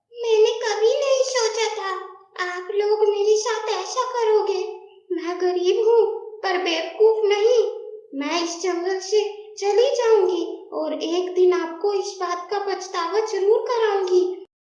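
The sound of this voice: A put-on character voice unfolds at a fairly slow pace with a clear echo around it. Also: woman, extremely high pitch for a woman.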